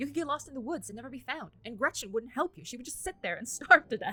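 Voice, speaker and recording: Projecting a raised voice, a woman speaks very fast with a high pitch, lively intonation and a bright, sharp tone. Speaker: gaming streamer. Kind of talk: game playthrough, reading dialogue aloud.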